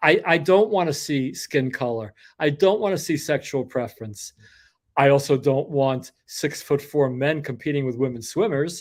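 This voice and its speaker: Fairly high in pitch with ordinary variation, a man with an American accent talks at a moderate pace in an unremarkable speaking voice. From New York, Brooklyn. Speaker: podcast host. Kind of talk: casual chat. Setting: live video stream.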